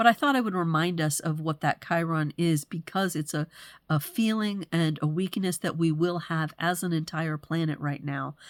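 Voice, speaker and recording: A woman speaks at a moderate pace in a plain, everyday voice, her pitch fairly low and her intonation fairly even. The recording is very clean, with a silent background. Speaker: human design astrology presenter. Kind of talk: solo forecast monologue. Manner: casual, with fillers.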